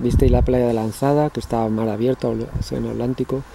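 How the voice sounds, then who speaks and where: Noticeable background noise sits under a dry sound with no echo. A man with a medium-pitched voice speaks at a fairly quick pace. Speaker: cycling vlogger. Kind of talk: casual vlog monologue. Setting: outdoors. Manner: animated. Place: forest. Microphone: phone near.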